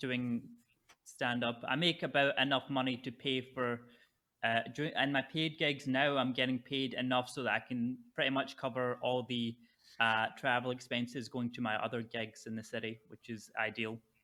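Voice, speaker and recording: Recorded very cleanly against a silent background, a man with a medium-pitched voice speaks at a moderate pace in a monotone, flat intonation with a bright, sharp tone. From Scotland, Fife. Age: 20s. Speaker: stand-up comedian and poker player. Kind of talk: casual podcast interview.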